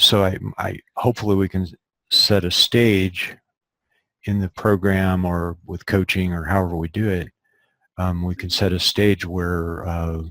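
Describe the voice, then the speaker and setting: A man speaks in a very deep, low voice with fairly even intonation. The sound is dry and close, with no echo. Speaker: eyesight coach. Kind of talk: webinar Q&A. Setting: live webinar. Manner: slow; deliberate easy rhythm.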